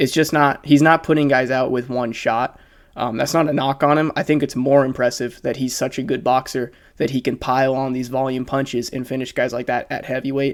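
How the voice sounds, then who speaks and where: The voice moves at a fairly quick pace on a very clean recording with a silent background. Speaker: MMA commentary YouTuber. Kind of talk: casual analysis monologue. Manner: fast.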